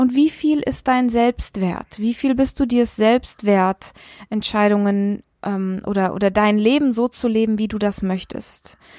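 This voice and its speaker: Her dark, mellow tone sits at a fairly high pitch for a woman, moving at a very slow pace with ordinary pitch variation, in a dry, close sound with no echo on a very clean recording with a silent background. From Kenya. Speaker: podcast host and coach. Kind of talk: solo podcast monologue. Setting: outdoors in Goa, India.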